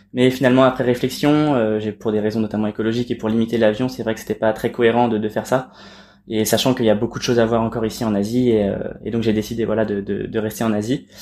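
Recorded very cleanly against a silent background, a man speaks at a very fast pace in a monotone, flat intonation. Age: 20s. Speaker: traveler, climate ambassador. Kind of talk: casual interview. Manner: halting, many repetitions.

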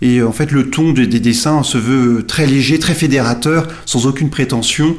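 A man's medium-pitched voice, with ordinary pitch variation, moves at a fairly slow pace. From France, Nantes. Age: 40s. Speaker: journalist and football fan. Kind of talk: interview. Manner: hesitant with fillers and repetitions.

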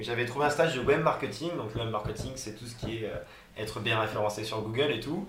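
Fairly quick speech from a man amid audible room echo and noticeable background noise. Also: medium pitch for a man, ordinary pitch variation. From France, Haute-Loire (Auvergne). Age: 20s. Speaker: travel blogger. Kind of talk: interview.

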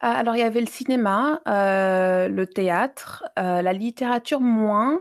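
A woman with a fairly high pitch speaks very slowly, her intonation lively and her loudness very even. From Libya and Mali (Malian family, childhood abroad). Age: 30s. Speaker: exhibition curator and feminist blogger. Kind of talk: interview. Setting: remote call from abroad. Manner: halting with many hesitations.

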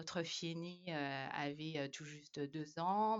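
Her intonation fairly even, a woman speaks at a very deep, low pitch. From Madagascar. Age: 30s. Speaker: expatriate mother. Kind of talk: casual interview conversation. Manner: halting, many hesitations.

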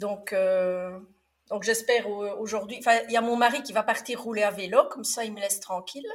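A woman with a slight Belgian accent and a fairly high pitch speaks at a moderate pace with fairly even intonation and big swings in loudness. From Belgium. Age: 50s. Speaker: former nurse and trainer, podcaster. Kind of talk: interview. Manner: calm.

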